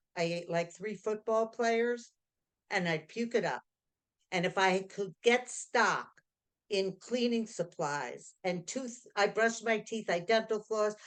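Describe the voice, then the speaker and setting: A woman's medium-pitched voice at a fairly slow pace with ordinary pitch variation. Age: 60s. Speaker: 12-step program member sharing recovery. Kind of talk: testimony. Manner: animated.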